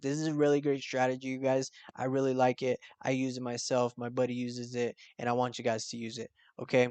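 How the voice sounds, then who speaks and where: A man talks at a very fast pace in a dry, close sound with no echo. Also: medium pitch for a man. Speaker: forex trading youtuber. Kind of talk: tutorial. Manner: animated.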